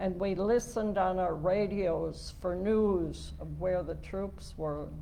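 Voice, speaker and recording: Amid audible room echo, a woman with an Upper Midwest accent speaks at a very slow pace. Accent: Upper Midwest American. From US Midwest, southern Minnesota. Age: 80s+. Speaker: lay speaker. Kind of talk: talk at a worship service.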